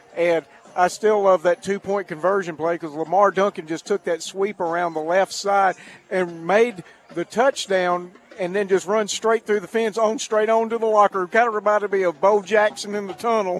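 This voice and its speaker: Recorded in a dry, close sound with no echo and noticeable background noise, a man with a high pitch speaks at a moderate pace with fairly even intonation. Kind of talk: color commentary alongside play-by-play in a football broadcast. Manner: conversational, measured, analytical.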